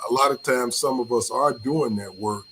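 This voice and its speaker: A man's voice over noticeable background noise. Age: 70s. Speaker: panel guest. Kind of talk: casual chat.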